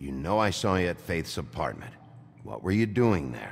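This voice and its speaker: Over clear background noise, a man uses a put-on character voice with a very deep, low pitch at a moderate pace. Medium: video game. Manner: terse, gruff.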